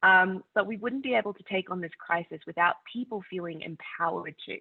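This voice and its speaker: A woman with an Australian accent, fairly quick in pace, with big swings in loudness. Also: medium pitch for a woman, ordinary pitch variation. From Australia, North Queensland. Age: 20s. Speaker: climate activist. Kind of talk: conference talk.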